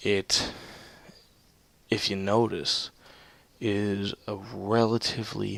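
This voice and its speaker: Soft-spoken and fairly low in pitch, a man talks with monotone, flat intonation. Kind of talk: video game commentary. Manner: soft-spoken, subdued.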